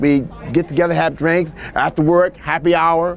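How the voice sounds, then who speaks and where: A man's fairly high voice over crowd noise in the background. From Washington, D.C. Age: 60s. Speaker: retired nurse. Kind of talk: oral history interview. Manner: halting.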